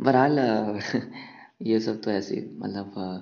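The voice belongs to a man. It sits fairly low. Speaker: podcaster. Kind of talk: casual monologue on love. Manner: casual and unscripted, with hesitations.

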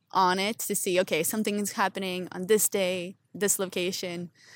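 A woman with a Canadian accent and a plain, everyday voice, medium pitch, moderate pace, on a very clean recording with a silent background. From Ontario, Canada. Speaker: urban placemaking entrepreneur. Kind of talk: casual interview. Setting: outdoors on a public bench.

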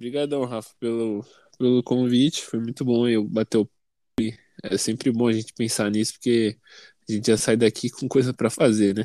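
Recorded very cleanly over a silent background, with a dry, close sound and no echo, a man at medium pitch talks at a moderate pace with a dark, mellow tone and monotone, flat intonation. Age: 20s. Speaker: university student and youth leader. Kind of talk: casual chat.

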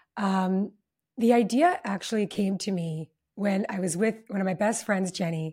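A woman with a Canadian accent speaks at a medium pitch in a warm, somewhat breathy tone, recorded very cleanly against a silent background. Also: ordinary pitch variation, moderate pace. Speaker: relationship summit founder and former matchmaker. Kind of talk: casual interview. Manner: warm and effusive.

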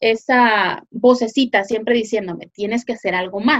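A woman with a fairly high pitch talks at a moderate pace in an ordinary speaking voice. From Guatemala. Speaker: online business consultant. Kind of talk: interview.

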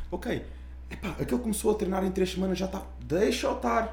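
Audible room echo and noticeable background noise fill the recording. A man speaks at a fairly quick pace. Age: 20s. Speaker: podcast host. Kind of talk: casual chat.

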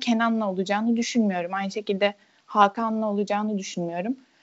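This woman has a normal speaking voice at a medium pitch. Her intonation is fairly even. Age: 20s. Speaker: football commentator. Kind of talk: casual chat. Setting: podcast recording.

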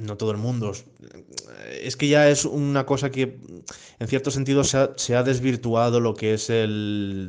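A man speaks at a medium pitch and a fairly slow pace, pausing long and often. The background is quiet. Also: fairly even intonation. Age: 20s. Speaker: illustrator. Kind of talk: casual discussion. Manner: halting.

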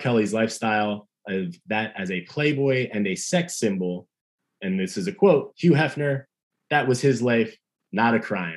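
Speaking at a moderate pace with a medium pitch and lively intonation, a man has a plain, everyday voice. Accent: American. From Long Island, New York. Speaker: podcast co-host. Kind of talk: casual chat.

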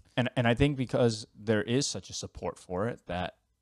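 In a very clean recording with a silent background, a man with a New York accent talks at a fairly quick pace with ordinary pitch variation. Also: dry, close sound with no echo. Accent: New York American. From US, New York. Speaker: podcast co-host. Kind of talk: casual chat.

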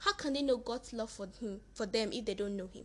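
Her pitch fairly high with ordinary variation, a woman speaks in an ordinary speaking voice. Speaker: podcaster. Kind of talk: devotional talk. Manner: warm, encouraging.

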